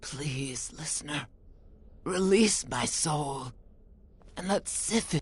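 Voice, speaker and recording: Over light background noise, a put-on character voice in a low-to-middle pitch moves at a very slow pace, broken by long, frequent pauses. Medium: video game. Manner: solemn, measured, otherworldly.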